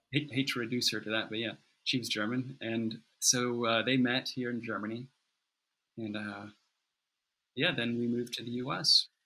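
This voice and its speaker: On a very clean recording with a silent background, a man with an American accent and a bright, sharp tone speaks at a moderate pace in a medium pitch, his intonation monotone and flat, with long, frequent pauses. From US South, North Carolina mountains. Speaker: goldsmith. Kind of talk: interview. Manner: halting, many repeated words.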